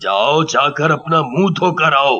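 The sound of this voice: A man does a cartoonish character voice that is raspy and fairly high-pitched, with ordinary pitch variation.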